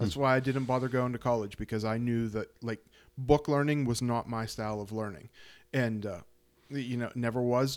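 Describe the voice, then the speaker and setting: A man with an American accent talks in an ordinary speaking voice at medium pitch and a moderate pace, his intonation fairly even on a very clean recording with a silent background. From central Pennsylvania. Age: 40s. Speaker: podcast host and fly tyer. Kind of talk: casual interview. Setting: home studio.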